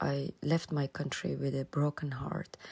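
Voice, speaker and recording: A woman speaks with a Persian accent. The sound is dry and close, with no echo. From Iran (Tehran), Afghan roots. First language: Persian (Dari/Farsi). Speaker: photographer and women's rights activist. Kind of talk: recorded voice-clip interview answers. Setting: self-recorded voice clips. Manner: halting, with repetitions and fillers.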